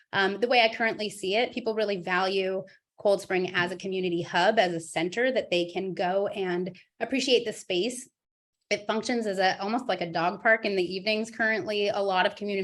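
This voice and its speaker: Speaking at a fairly quick pace, a woman has a medium pitch and fairly even intonation. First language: Spanish. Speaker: school board candidate. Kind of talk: candidate forum.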